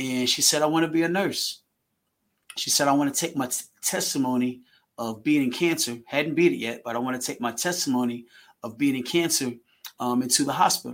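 A man with an ordinary speaking voice talks at a fairly quick pace, his fairly high pitch showing ordinary variation. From Virginia. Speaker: track coach. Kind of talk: casual chat.

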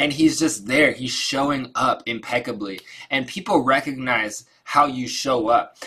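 A man of medium pitch speaks at a fairly slow pace with ordinary pitch variation against noticeable background noise. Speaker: participant. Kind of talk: casual group discussion. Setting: video call.

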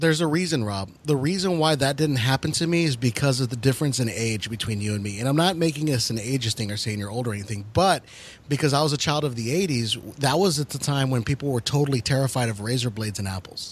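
A man talks at a very fast pace with hardly any pauses and lively intonation. His medium-pitched voice is somewhat breathy. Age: 30s. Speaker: paranormal podcast co-host. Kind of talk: casual chat.

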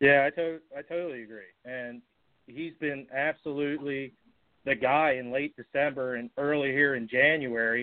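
In an American accent, an unremarkable speaking voice moves at a moderate pace with fairly even intonation. Its loudness swings widely. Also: man, fairly high pitch for a man. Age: young. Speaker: podcast co-host. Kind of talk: casual chat.

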